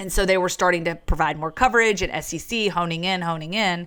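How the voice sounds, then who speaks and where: Speaking at a very fast pace in an American accent, a woman with a fairly low pitch sounds bright, sharp and animated. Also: very clean recording, silent background. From Virginia, US South. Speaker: sports broadcaster. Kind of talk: podcast interview.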